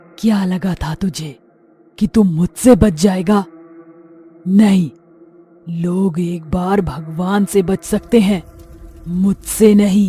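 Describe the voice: A cartoonish character voice at a middle pitch. It moves at a fairly slow pace with long, frequent pauses.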